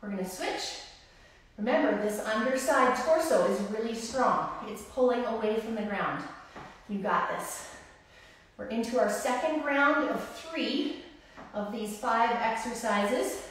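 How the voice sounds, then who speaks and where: A woman speaking at a fairly slow pace with ordinary pitch variation, strong room echo and light background noise. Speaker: personal trainer. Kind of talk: live-streamed workout instruction, counting reps and cueing form in real time. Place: gym. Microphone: camera far.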